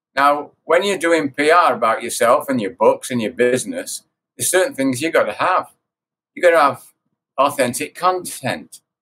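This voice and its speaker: His pitch sits fairly high for a man and swings very widely. The man's tone is bright and sharp. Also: moderate pace. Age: 70s. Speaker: author and life coach. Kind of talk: interview.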